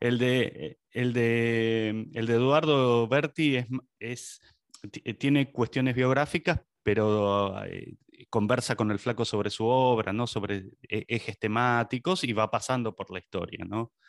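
Against a quiet background, a man talks at a very slow pace and a medium pitch with ordinary pitch variation, the sound dry and close with no echo. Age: 50s. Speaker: podcast host. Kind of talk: interview.

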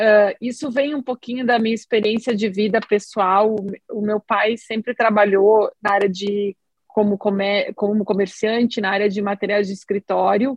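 A woman's fairly high pitch in a monotone, flat intonation, at a moderate pace. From southern Brazil, Rio Grande do Sul. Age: 40s. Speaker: oncologist and app co-founder. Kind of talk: podcast interview.

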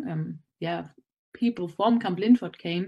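Speaking in a German accent, a woman keeps a moderate pace and medium pitch with fairly even intonation. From Germany. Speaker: student campus representative. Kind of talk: interview.

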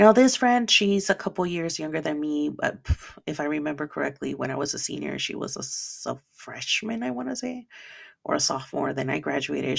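A woman with a Spanish accent and a very deep, low pitch speaks at a fairly quick pace with very wide pitch swings. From El Salvador, raised in the US. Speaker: podcast host. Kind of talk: personal monologue. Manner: halting, repeats words.

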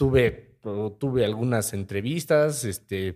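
Speaking with a Mexican accent, a man has a medium-pitched voice with a dark, mellow tone. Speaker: podcast co-host, sales professional. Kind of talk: casual chat.

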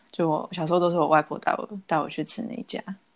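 The speaker is a woman. Her pitch is fairly low. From Taiwan. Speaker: podcast co-host. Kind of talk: casual chat.

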